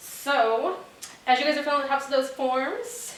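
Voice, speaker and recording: A high-pitched woman speaks in an animated tone. The room echo is audible, and there is noticeable background noise. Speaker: home party sales consultant. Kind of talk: sales pitch. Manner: fast.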